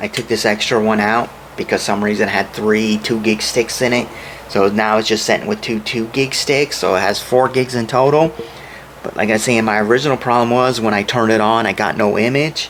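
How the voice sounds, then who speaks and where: Fairly even intonation at a fairly quick pace, with noticeable background noise. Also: man, medium pitch for a man. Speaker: computer repair hobbyist. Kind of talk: tutorial. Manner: halting.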